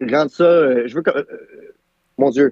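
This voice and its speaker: A man speaks with an Ontario accent. His tone is dark and mellow. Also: dry, close sound with no echo. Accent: Franco-Ontarian. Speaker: YouTuber. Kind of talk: casual chat. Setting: live stream podcast.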